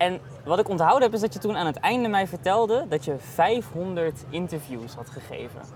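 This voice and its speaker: A man's high voice with very wide pitch swings over noticeable background noise. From Netherlands. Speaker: podcast host, film reporter. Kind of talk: casual interview. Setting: outdoor terrace at festival.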